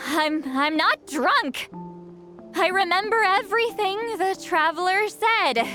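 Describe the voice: A woman's put-on character voice, extremely high in pitch, bright and sharp in tone, slow in pace, with faint music in the background. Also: ordinary pitch variation.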